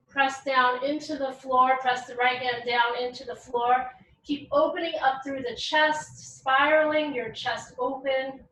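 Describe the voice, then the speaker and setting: A woman's raised, projected voice, high-pitched, bright and sharp in tone, with fairly even intonation and a fairly slow pace. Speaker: yoga teacher. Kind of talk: yoga class instruction. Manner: eloquent.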